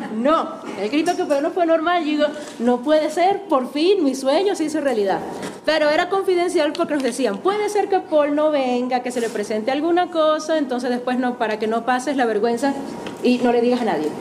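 Amid noticeable background noise and audible room echo, a woman speaks at a fairly quick pace in a high voice with lively intonation. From Venezuela, Maracaibo. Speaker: musician and music teacher. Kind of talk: testimony talk to an audience. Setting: auditorium with audience.

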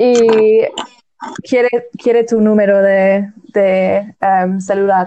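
A woman's medium-pitched voice with an English accent, very slow pace, long, frequent pauses and monotone, flat intonation. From England. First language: English (speaking Spanish). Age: 20s. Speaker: recent graduate. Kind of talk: casual chat. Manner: halting.

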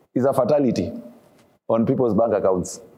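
Audible room echo surrounds a man's voice. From Kenya, Kisumu. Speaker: pastor. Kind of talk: sermon.

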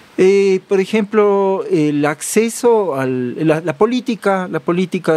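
The speaker is a man with a Cuenca Ecuadorian accent. His intonation is lively. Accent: Cuenca Ecuadorian Spanish, retained. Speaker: farmer and butcher. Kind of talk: casual interview. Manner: halting, with repeated words.

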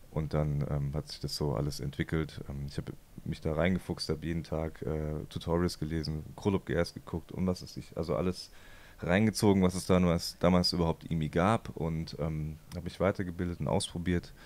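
Moderate pace, with fairly even intonation. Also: man, very deep, low pitch for a man. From Germany, Heidelberg. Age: 30s. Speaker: filmmaker and photographer. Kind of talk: interview.

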